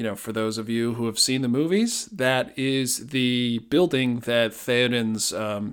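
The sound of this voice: Unforced reading with intonation that stays fairly even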